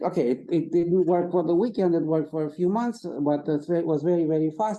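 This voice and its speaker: Talking at a fairly quick pace, a man has a high pitch, ordinary pitch variation and a dark, mellow tone. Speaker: physics professor. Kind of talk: lecture. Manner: halting; fast.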